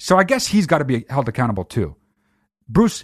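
At a moderate pace, a man's voice swings very widely in pitch, dry and close with no echo against a quiet background. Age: 30s. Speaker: podcast host. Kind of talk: casual monologue. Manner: animated.

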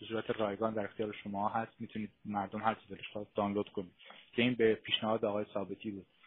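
The speaker is a man whose voice sits at a medium pitch. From Iran. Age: 40s. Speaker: author and historian. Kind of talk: political discussion. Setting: online live stream. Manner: animated.

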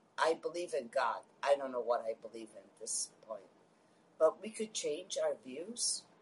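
A woman talks at a fairly slow pace. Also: long, frequent pauses, big swings in loudness. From Queens, New York. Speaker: caller. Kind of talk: heated debate.

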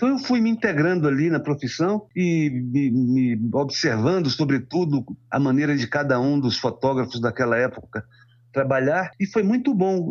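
At a moderate pace, a man speaks with very wide pitch swings while his loudness stays very even. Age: 70s. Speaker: photojournalist. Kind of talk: interview. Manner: halting.

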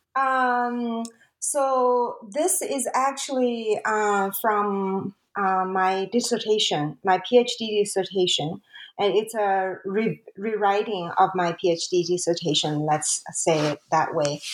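A woman speaks with a Chinese accent and lively intonation. Her pace is very slow. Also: medium pitch for a woman. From China. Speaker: academic author. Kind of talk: interview. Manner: halting, many fillers.

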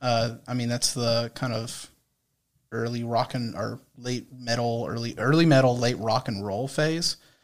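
The speaker is a man with a plain, everyday voice. His pitch is medium and his pace fairly slow. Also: fairly even intonation. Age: 20s. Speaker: generations expert and former radio presenter. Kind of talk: casual chat.

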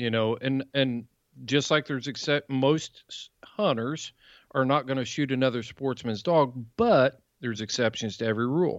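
At a moderate pace and medium pitch, a man with an American accent speaks in an unremarkable speaking voice with ordinary pitch variation, against a quiet background with a dry, close sound and no echo. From South Central Indiana. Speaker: hound hunter and podcast host. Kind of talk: casual interview.

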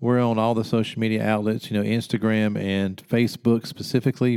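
A man's medium-pitched voice with a dark, mellow tone at a fairly quick pace, on a very clean recording with a silent background. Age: 50s. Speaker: hunting podcast host.

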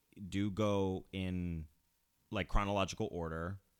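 A man talks in a normal speaking voice at a fairly slow pace, his fairly low pitch showing ordinary pitch variation. The recording is very clean, with a silent background. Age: 30s. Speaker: horror film podcast host. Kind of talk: casual chat.

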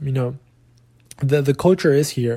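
A man talks at a medium pitch with a dark, mellow, somewhat breathy tone. His delivery is fairly quick and flat, in a monotone. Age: young. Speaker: soccer podcast host. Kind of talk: casual solo talk. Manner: casual, filler-heavy.

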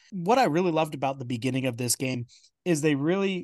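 A man's voice comes through dry and close, with no echo, over a quiet background. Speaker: podcast host. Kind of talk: casual sports chat. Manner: animated.

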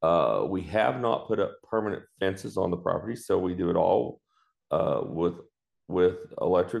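A man with a West Texas accent, at a fairly slow pace, over a quiet background. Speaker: farmer and veterinarian. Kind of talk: interview.

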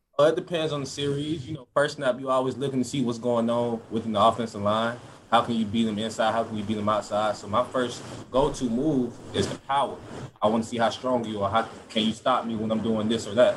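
A man's medium-pitched voice with an American accent at a very fast pace and fairly even intonation, against noticeable background noise. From Georgia (US South). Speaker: college football edge rusher. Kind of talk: interview.

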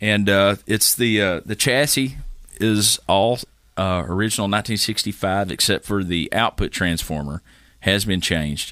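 A man's fairly low voice with a Tennessee accent, bright, sharp tone, ordinary pitch variation, moderate pace and very even loudness, in a very clean recording with a silent background. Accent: Southern US (Tennessee). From Middle Tennessee (Carthage, Smith County). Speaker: guitarist. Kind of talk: casual chat. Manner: halting, with many fillers.

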